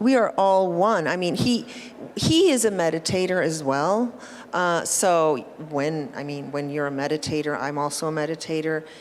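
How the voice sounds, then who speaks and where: Fairly slow speech with audible room echo. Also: woman. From Colombia. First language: Spanish. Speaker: art gallerist. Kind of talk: panel talk at art fair. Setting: stage at art show floor.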